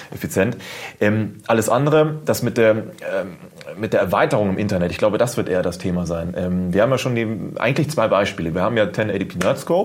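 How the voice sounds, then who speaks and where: Amid noticeable background noise, a man talks at a fairly quick pace with lively intonation. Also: fairly low pitch for a man. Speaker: YouTuber. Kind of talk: casual chat.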